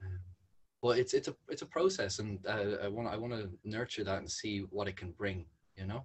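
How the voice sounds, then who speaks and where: Somewhat breathy and with a Dublin accent, a man talks at a fairly quick pace and fairly low pitch, his intonation fairly even. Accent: Irish (Dublin). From Ireland. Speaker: environmental charity founder. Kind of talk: casual chat. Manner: halting.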